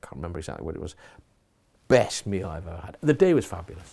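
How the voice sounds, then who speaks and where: A man speaks in a dark, mellow tone with a slight Geordie accent. The recording is very clean, with a silent background. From Newcastle, northern England. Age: 60s. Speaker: college principal. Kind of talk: interview. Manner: hesitant, many fillers.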